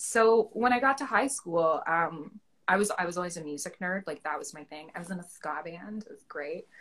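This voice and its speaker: In a Canadian accent, a woman with a normal speaking voice talks with lively intonation and big swings in loudness. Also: fairly low pitch for a woman, moderate pace. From Ontario, Canada. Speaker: actor. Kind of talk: casual chat interview. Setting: Instagram live video chat.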